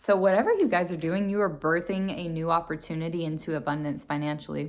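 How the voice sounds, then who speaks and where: A woman speaks fairly quickly at a fairly low pitch with fairly even intonation. The recording is very clean, with a silent background. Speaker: tarot reader. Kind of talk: tarot reading for viewers. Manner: hesitant, many fillers; soft-spoken.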